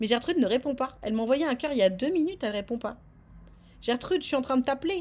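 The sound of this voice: Speaking fast, a woman with a high pitch and lively intonation has a slightly mellow tone.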